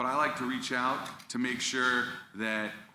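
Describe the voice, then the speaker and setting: A man speaks at a medium pitch in a bright, sharp tone, with audible echo from the room. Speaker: school district communications staff. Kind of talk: presentation to school board.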